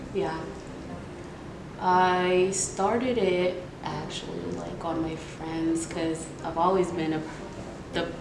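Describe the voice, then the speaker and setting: A woman's fairly low voice, fairly even in intonation, at a very slow pace with long, frequent pauses, plus noticeable background noise and audible room echo. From South Sudan. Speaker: makeup artist. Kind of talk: casual chat.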